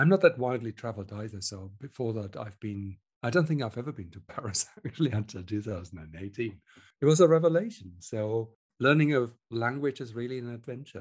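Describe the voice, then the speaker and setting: In a German accent, a man speaks fairly quickly at a medium pitch, with lively intonation and big swings in loudness. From Germany. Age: 50s. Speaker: research software engineer. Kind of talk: interview.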